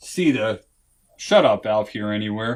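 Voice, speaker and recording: A man with lively intonation. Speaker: home inspector. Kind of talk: training seminar. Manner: halting.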